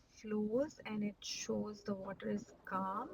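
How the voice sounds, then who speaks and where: In a somewhat breathy voice, a woman speaks very slowly with monotone, flat intonation. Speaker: watercolor art teacher. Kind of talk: tutorial. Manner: halting.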